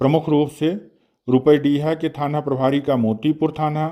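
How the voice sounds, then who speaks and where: This man's voice has a dark, mellow tone. His pitch sits fairly high. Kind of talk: regional news bulletin read.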